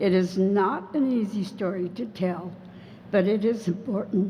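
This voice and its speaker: A woman with an American accent speaks at a moderate pace and medium pitch, sounding somewhat breathy. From California, US. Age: 70s. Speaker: former wartime internee. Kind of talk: testimony.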